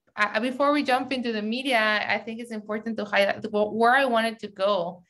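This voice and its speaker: The speaker has a strong Mexican accent and fairly even intonation. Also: woman. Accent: heavy Mexican Spanish. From Mexico City, then San Diego from age 15. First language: Spanish. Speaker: media entrepreneur, CEO. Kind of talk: interview.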